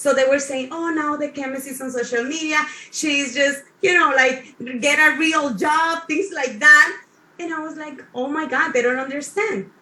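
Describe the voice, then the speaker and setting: A woman speaks in a high, bright and sharp voice, raised and projected. Her loudness swings widely, and her pitch varies in an ordinary way. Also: moderate pace. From South Africa. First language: not English. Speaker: motivational speaker, chemist. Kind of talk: motivational talk on online panel. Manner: halting, self-correcting.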